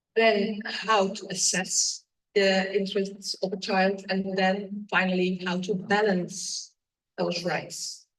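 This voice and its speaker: Somewhat breathy, the voice moves at a very slow pace with flat, monotone intonation. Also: woman, medium pitch for a woman. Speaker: judge. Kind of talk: conference talk.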